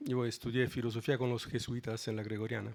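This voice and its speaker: A man with a non-native accent at a moderate pace. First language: Italian (speaking Spanish). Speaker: philosophy of law professor. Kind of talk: conference talk.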